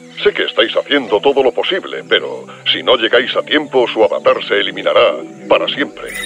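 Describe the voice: A cartoonish character voice with a bright, sharp tone and vocal fry makes big pitch swings. Faint music plays in the background. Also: man, fairly low pitch for a man, fairly quick pace.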